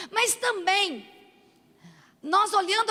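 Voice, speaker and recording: A woman speaks in a raised, projected voice with a bright, sharp tone. Her pitch varies in an ordinary way. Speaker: preacher. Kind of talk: sermon.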